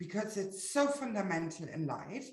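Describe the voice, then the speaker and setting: A woman speaks in a German accent at a medium pitch. Her intonation is lively, and room echo is audible. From Germany. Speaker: webinar presenter. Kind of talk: live webinar presentation. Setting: livestream. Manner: halting, many fillers.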